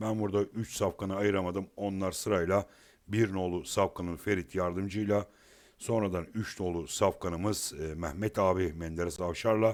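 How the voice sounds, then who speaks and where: At a moderate pace, a man speaks with fairly even intonation in a very deep, low voice. The recording is very clean, with a silent background. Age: 50s. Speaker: horse racing tipster. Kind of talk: betting tips monologue. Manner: halting, many filler sounds.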